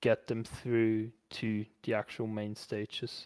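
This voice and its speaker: Very slow and monotone, the flat speech sits in a dry, close recording with no echo, very clean against a silent background. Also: man. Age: 20s. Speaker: esports organization owner. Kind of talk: interview.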